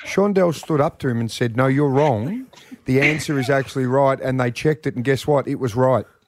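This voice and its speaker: Here is a man with an unremarkable speaking voice at a medium pitch. He goes at a fairly quick pace with ordinary pitch variation. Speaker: radio host. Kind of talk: radio DJ patter hosting a contest game show. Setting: radio studio. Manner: chatty, upbeat, bantering.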